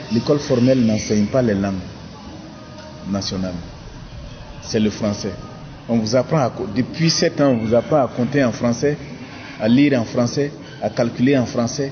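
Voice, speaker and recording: Music plays in the background as a man speaks at a moderate pace with a medium pitch. His pitch variation is ordinary, and he takes long, frequent pauses. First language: a local Burkinabè language (speaking French). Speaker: writer. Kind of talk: documentary interview.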